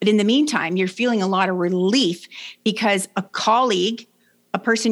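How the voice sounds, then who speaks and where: With a Canadian accent and lively intonation, a woman speaks at a fairly high pitch in an unremarkable speaking voice. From Canada. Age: 60s. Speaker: leadership coach. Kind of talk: interview.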